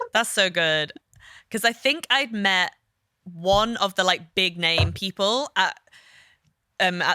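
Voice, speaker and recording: A woman with an English accent, medium pitch, and a bright, sharp tone, at a very slow pace with very even loudness, ordinary pitch variation, long, frequent pauses, and a dry, close sound with no echo. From northern England, Liverpool. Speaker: art therapist and podcast co-host. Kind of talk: casual chat.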